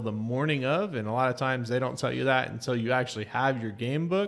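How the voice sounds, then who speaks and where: This man has an ordinary speaking voice at a medium pitch with lively intonation, recorded very cleanly against a silent background. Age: 30s. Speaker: podcast guest, Disney fan blogger. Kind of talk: casual chat.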